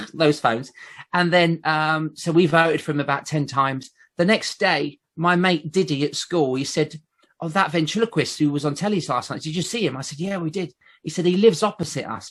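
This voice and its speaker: With a southern English accent, a man talks at a fairly quick pace and a fairly high pitch. His pitch varies in an ordinary way against a quiet background. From southern England, Basingstoke. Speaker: ventriloquist. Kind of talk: casual chat.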